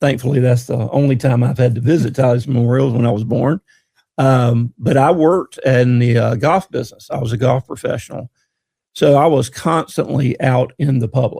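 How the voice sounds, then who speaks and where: A man with a Southern US accent speaks at a fairly quick pace, his medium-pitched voice somewhat breathy with a dark, mellow tone. His intonation is fairly even, and the sound is dry and close with no echo. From North Florida (Monticello). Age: 60s. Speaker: dealership community relations manager. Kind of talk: casual interview chat.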